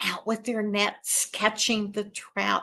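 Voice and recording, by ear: The recording consists of reading aloud in a natural voice.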